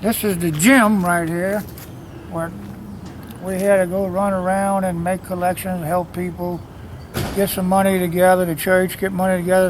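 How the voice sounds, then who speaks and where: Amid noticeable background noise and audible room echo, a man speaks at a moderate pace in a high pitch with monotone, flat intonation. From New Orleans, Louisiana (Irish Channel). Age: 70s. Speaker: local musician and songwriter. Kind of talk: casual interview on location. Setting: outdoors on a street.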